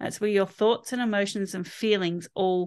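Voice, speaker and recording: Speaking at a fairly slow pace with an Australian accent, a woman keeps a medium pitch and fairly even intonation against a quiet background. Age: 50s. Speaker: holistic health practitioner. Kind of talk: interview.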